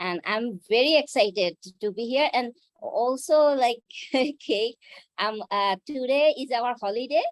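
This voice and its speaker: A woman with a Bengali accent speaks at a fairly slow pace in a high pitch, her intonation lively, with a dry, close sound and no echo. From Bangladesh. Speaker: karate instructor and fitness center owner. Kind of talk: self-introduction in an online class.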